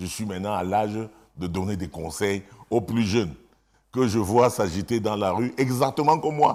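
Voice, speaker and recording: A man's fairly low voice with lively intonation, a moderate pace and long, frequent pauses, in a very clean recording with a silent background. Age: 60s. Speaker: politician, government minister. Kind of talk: TV interview. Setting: TV studio.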